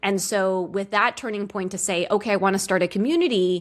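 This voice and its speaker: A woman speaks in a medium pitch on a very clean recording with a silent background. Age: 30s. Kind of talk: interview. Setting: podcast interview. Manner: uses many filler words.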